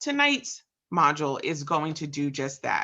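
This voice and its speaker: A woman with a New Jersey accent at a fairly slow pace, very wide pitch swings, quiet background. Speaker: program assistant and host of a leadership webinar. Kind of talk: webinar introduction. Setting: online webinar, voice only. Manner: enthusiastic.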